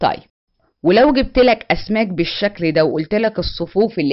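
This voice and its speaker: With an Egyptian accent, a woman speaks with lively intonation. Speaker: math teacher. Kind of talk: lecture. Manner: animated.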